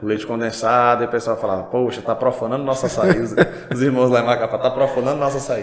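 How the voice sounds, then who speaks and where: Very fast male speech amid noticeable background noise and audible room echo. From Brazil, Pará (Paragominas, Altamira). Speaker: pastor and podcast host. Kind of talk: casual interview chat.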